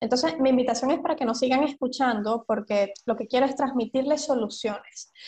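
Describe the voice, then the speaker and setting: A woman's high-pitched, dark, mellow voice at a fairly quick pace, with hardly any pauses and ordinary pitch variation. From Venezuela. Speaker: psychologist. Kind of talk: interview.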